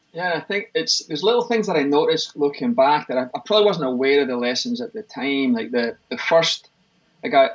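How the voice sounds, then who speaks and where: A man talks at a fairly quick pace with a Scottish accent. His pitch swings very widely. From Scotland, Livingston near Glasgow. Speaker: fitness expert and gym owner. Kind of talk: interview conversation.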